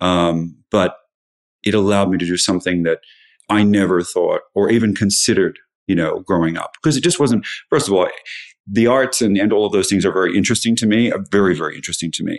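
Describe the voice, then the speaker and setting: A man with an Australian accent speaks very fast. His pitch is fairly low, with ordinary variation. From Australia (Sydney). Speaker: lighting designer. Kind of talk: casual interview.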